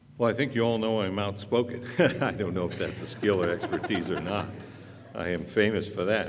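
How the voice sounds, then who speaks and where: Loud and fairly low-pitched, a man talks at a moderate pace with ordinary pitch variation as room echo is audible. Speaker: city council candidate. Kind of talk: candidate debate.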